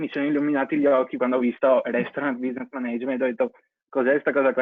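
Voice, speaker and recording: Intonation here is fairly even. It is a normal speaking voice. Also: man. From Venice, Italy. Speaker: vocational course student. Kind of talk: testimony.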